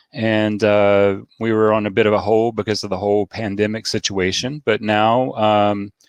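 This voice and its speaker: A man with a Southern US accent, a fairly low pitch, monotone, flat intonation and very even loudness, in a dry, close sound with no echo. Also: moderate pace, hardly any pauses. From US South, Nashville. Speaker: beard club organizer. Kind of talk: casual chat. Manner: hesitant, many fillers.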